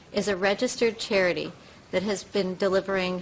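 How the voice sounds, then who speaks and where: Noticeable background noise sits behind a woman speaking at a moderate pace in a medium pitch. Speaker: advocate for the blind testifying as witness. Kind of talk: formal testimony read from screen reader. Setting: committee hearing. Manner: halting, repeating text heard in ear; occasional stutters and restarts.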